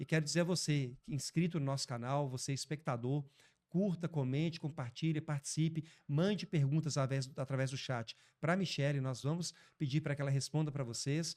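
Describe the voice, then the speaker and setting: On a very clean recording with a silent background, a man speaks in a normal speaking voice at a fairly high pitch. His pace is moderate and his intonation fairly even. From Brazil, Belo Horizonte (Minas Gerais). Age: 30s. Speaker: podcast host. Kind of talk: interview.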